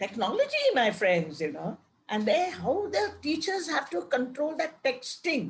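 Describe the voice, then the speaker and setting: A woman speaks in a high voice. Her pitch swings very widely. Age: 80s+. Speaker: retired English professor. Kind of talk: Q&A in online talk.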